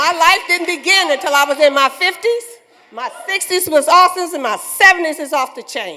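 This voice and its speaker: A woman's raised, projected voice at an extremely high pitch, animated and fairly quick, with big swings in loudness and noticeable background noise. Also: ordinary pitch variation. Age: 70s. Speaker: award recipient giving speech. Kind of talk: acceptance speech. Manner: halting, repeats words.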